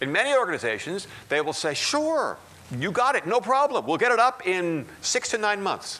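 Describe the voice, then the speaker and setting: A raised, projected man's voice, high-pitched with very wide pitch swings, at a moderate pace. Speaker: technology consultant and conference speaker. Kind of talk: conference keynote talk. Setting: stage with audience.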